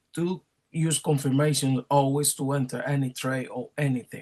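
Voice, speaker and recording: At a moderate pace, a man speaks in a somewhat breathy, fairly high voice. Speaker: trading analyst. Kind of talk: market analysis video.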